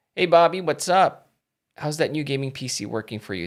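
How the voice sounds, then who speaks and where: Heard on a very clean recording with a silent background, a man with a slight Filipino accent speaks at a fairly high pitch with very wide pitch swings. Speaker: tech and gaming streamer. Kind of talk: casual live stream chat. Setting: live stream from home. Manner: hesitant, many fillers.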